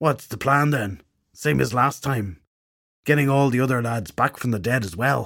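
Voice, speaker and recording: Putting on a raspy character voice, a man talks at a medium pitch and a moderate pace with ordinary pitch variation. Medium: read story. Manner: casual, blokey.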